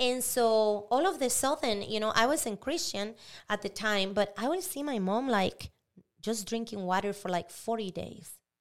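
A woman with a Spanish accent and a fairly high pitch, in a very clean recording over a silent background. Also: moderate pace. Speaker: pastor. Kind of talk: casual chat.

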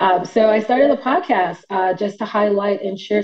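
With an American accent, a woman speaks fairly quickly at a medium pitch against noticeable background noise. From New York City, Brooklyn. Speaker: tech engineering manager. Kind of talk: casual interview.

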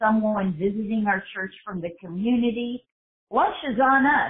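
A woman with an American accent speaks at a medium pitch in a plain, everyday voice. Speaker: church host. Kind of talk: interview promoting an event.

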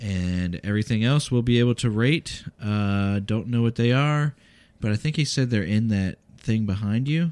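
A man with a normal speaking voice talks at a medium pitch and moderate pace with ordinary pitch variation. The sound is dry and close with no echo, on a very clean recording with a silent background. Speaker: podcast co-host, parent. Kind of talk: casual family chat, taste test.

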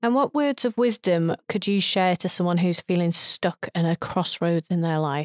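In a very clean recording with a silent background and dry, close sound with no echo, a woman with a plain, everyday voice speaks at a fairly low pitch with lively intonation, very even loudness and hardly any pauses. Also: moderate pace. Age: 40s. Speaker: entrepreneur acting as interviewer. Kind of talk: interview.

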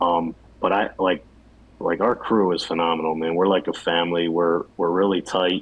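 The speaker keeps a monotone, flat intonation at a moderate pace, with very even loudness throughout. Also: man, very deep, low pitch for a man. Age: 40s. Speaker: bathtub refinishing business owner. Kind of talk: casual interview.

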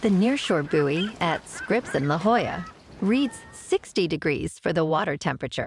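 At a moderate pace, a woman with an unremarkable speaking voice talks at a fairly low pitch, her intonation lively and her loudness very even. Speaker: podcast host. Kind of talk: weather report. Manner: brisk, even and matter-of-fact, reading figures off in a steady rundown; upbeat and sunny.

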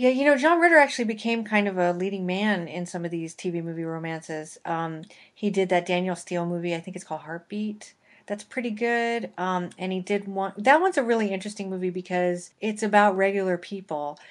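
A woman with a normal speaking voice talks at a fairly quick pace, her medium pitch showing ordinary variation against a quiet background. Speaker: podcast host. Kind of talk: casual chat.

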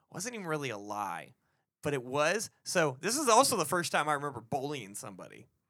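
In an American accent, a man talks at a fairly quick pace with a fairly high pitch, a bright, sharp tone and vocal fry. His pitch swings very widely, his loudness swings a lot, and the recording is very clean with a silent background. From Texas, later Florida. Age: 20s. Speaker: comedy podcast co-host. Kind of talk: casual chat.

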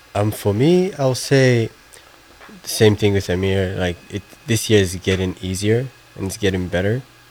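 Pausing long and often, a man with a fairly low pitch and ordinary pitch variation talks over noticeable background noise. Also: moderate pace. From Somaliland. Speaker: college student. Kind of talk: radio interview.

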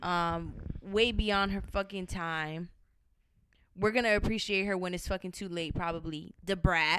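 A woman with an American accent talks at a fairly slow pace, medium in pitch, her tone animated and bright, sharp. The recording is very clean, with a silent background. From Miami, Florida. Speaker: podcast host. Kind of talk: casual chat.

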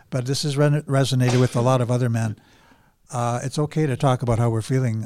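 With a Canadian accent, a man speaks at a medium pitch in a dark, mellow tone and with fairly even intonation. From Alberta, Canada. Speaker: men's support group organizer. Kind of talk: casual interview. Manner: halting.

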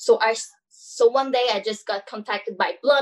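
With a Quebec accent, a woman speaks using ordinary pitch variation. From Montreal, Quebec. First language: French. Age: 20s. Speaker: hairstylist and salon owner. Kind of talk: casual chat.

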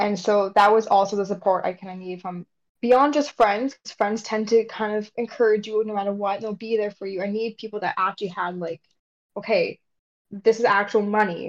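A woman talks at a fairly quick pace in an ordinary speaking voice of medium pitch with fairly even intonation. Her loudness swings widely. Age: 20s. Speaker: journalism student and children's author. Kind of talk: casual interview.

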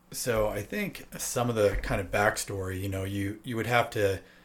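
Fairly low pitch from a man with a normal speaking voice, moderate in pace, with fairly even intonation. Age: 40s. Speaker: guest sharing personal health experience. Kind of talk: casual chat.

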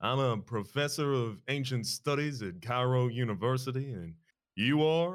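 On a very clean recording with a silent background, a man with a medium pitch talks at a fairly slow pace in an ordinary speaking voice. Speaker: podcast co-host. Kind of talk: casual banter with joking character voices. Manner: playful, jokey.

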